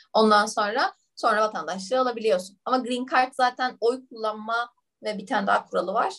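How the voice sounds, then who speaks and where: A woman speaks at a fairly quick pace in a fairly high pitch. Hers is an unremarkable speaking voice. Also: ordinary pitch variation. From Turkey. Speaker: management consultant. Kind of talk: casual interview.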